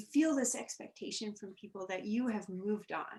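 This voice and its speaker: A woman speaks softly at a fairly high pitch. Her pitch varies in an ordinary way. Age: young. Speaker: journalist and widow. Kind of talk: personal interview, testimony. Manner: soft-spoken; hesitant, repeats words.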